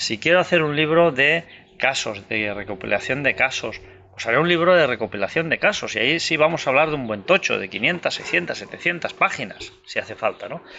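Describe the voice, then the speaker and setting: Vocal fry marks a man's fairly high pitch as he speaks with lively intonation at a fairly quick pace. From Andorra. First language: Catalan (speaking Spanish). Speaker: author and UFO researcher. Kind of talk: interview. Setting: outdoors in the mountains.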